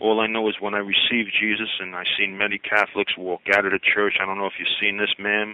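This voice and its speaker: Someone speaks at a very fast pace against noticeable background noise. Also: man. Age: 60s. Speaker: caller. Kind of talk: call-in radio talk. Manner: animated, emphatic; halting, repeats words.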